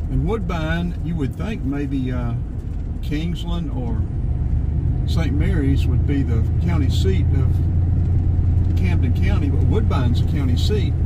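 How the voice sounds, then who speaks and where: A man at a fairly slow pace, with long, frequent pauses, ordinary pitch variation, and loud background noise. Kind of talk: casual driving commentary. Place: car.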